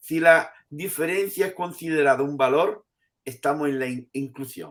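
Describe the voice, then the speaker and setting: The recording is very clean, with a silent background. A man with an unremarkable speaking voice talks at a fairly high pitch and a moderate pace, with ordinary pitch variation. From Andalusia, Spain. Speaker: professor emeritus of education. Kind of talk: interview answer.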